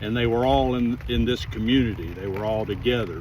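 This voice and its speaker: A man is speaking. Both room echo and background noise are noticeable. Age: 60s. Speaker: family history vlogger. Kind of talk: casual vlog narration. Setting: outdoors.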